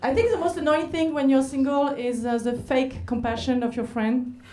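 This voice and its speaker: A woman speaks with a French accent at a moderate pace. Noticeable background noise is heard. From France. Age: 40s. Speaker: comedian; stand-up comedian. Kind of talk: stand-up. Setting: stage with audience. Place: stage. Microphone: handheld.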